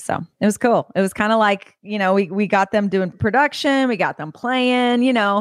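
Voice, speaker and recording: A woman with a plain, everyday voice and an American accent speaks at a moderate pace with a fairly high pitch, ordinary pitch variation and hardly any pauses. The recording is very clean and silent in the background, with a dry, close sound and no echo. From California suburbs. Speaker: country singer-songwriter. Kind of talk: interview.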